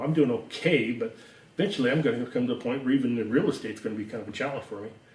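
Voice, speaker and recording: With audible room echo, a man talks at a medium pitch and ordinary pitch variation. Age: 70s. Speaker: real estate agent and show host. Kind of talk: casual interview.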